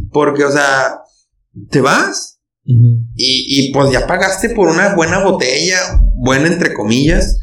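A man with a Mexican accent speaks at a fairly slow pace, and the room echo is audible. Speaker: podcast host. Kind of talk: casual chat.

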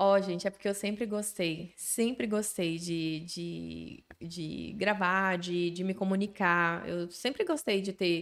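In a very clean recording with a silent background, a woman with a medium pitch talks at a very slow pace with hardly any pauses. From Bahia, Brazil. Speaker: social media influencer. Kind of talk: casual interview chat. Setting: studio. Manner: animated.

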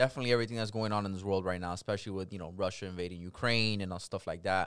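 A man with an American accent speaks at a fairly low pitch with fairly even intonation and hardly any pauses. The recording is very clean, with a silent background. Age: 20s. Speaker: repo man. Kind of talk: casual chat.

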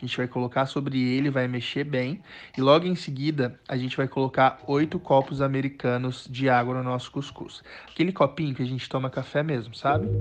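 A man with an ordinary speaking voice talks at a medium pitch and a fairly quick pace. His intonation stays fairly even over a quiet background. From Brazil, Acre (Rio Branco). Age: 20s. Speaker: chef. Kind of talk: cooking tutorial.

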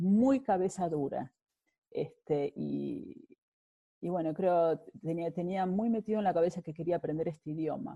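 A woman talks at a fairly slow pace with fairly low pitch, ordinary pitch variation and big swings in loudness. The sound is dry and close, without echo. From Argentina, Buenos Aires. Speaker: immigrant interviewee. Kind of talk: interview. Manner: halting, many fillers and repetitions.

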